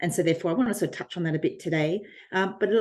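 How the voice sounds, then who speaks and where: A woman in an Australian accent talks at a medium pitch, her pitch varying in an ordinary way. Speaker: design strategist and academic. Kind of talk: podcast interview. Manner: frequent filler ums.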